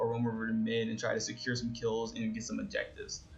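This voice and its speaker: Over audible room echo, a man with a medium-pitched, somewhat breathy voice speaks at a fairly quick pace in a monotone, flat intonation. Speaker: gaming YouTuber. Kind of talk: gameplay tutorial commentary. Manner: casual with frequent fillers.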